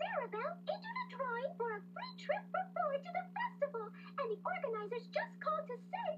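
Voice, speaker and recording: A female-sounding put-on character voice at a fairly quick pace with hardly any pauses, over clear background noise. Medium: read story.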